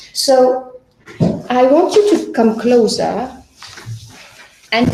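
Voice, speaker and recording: A woman speaks with a non-native accent. The room echo is audible. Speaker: business teacher. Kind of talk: tutoring session. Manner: halting.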